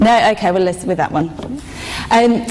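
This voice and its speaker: The speech runs at a very fast pace. Noticeable background noise is present. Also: woman. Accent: northern English. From northern England. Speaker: corporate speaker. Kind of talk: conference speech. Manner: halting.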